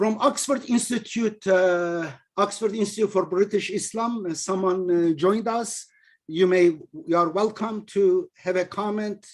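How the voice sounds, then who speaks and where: A man with a high pitch, a non-native accent, and ordinary pitch variation. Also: fairly slow pace. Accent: heavy non-native. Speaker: religious teacher and author. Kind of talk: online lecture with discussion. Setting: video call. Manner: animated.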